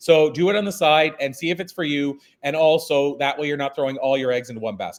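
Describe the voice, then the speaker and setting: A man talks at a very fast pace in a fairly high voice. His pitch varies in an ordinary way. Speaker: keynote speaker. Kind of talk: interview.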